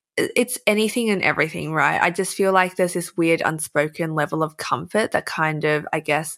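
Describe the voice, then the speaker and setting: Over a silent background in a very clean recording, a woman with an Australian accent speaks at a moderate pace. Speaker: influencer and writer. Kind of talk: casual chat.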